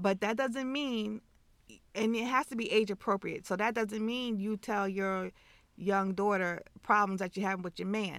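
A woman with a plain, everyday voice at a medium pitch and a moderate pace, fairly even in intonation, in a very clean recording with a silent background. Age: 50s. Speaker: podcast co-host, mother. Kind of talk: casual chat.

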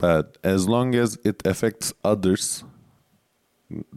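A man with a Turkish accent, very slow pace, fairly even intonation. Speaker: stand-up comedian. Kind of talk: casual chat. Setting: studio.

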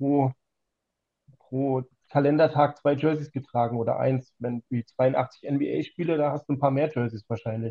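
An ordinary speaking voice talks at a moderate pace with fairly even intonation. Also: man. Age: 40s. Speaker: trading card collector. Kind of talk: casual chat.

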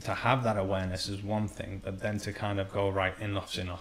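A man talks at a moderate pace in a monotone, flat intonation. His voice is fairly low and somewhat breathy. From Iran. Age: 30s. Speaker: emotional healing coach. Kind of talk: casual chat.

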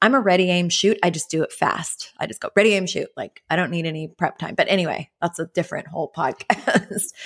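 A woman with a plain, everyday voice speaks at a medium pitch and a fairly quick pace, with hardly any pauses. The sound is dry and close, with no echo. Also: ordinary pitch variation. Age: 40s. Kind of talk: casual chat.

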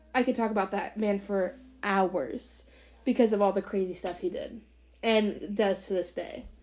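An unremarkable speaking voice, this woman talks at a medium pitch and a moderate pace with ordinary pitch variation. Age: 20s. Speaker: podcast co-host. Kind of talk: casual chat.

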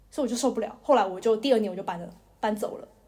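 The voice runs at a very fast pace with ordinary pitch variation. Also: woman. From Taiwan, Taipei. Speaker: podcast co-host, university student. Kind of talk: casual chat.

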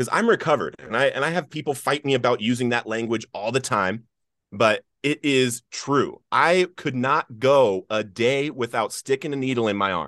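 In a General American accent, a man speaks at a moderate pace and medium pitch. His voice has ordinary pitch variation over a quiet background. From Colorado. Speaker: author and nonprofit founder in addiction recovery. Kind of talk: interview testimony.

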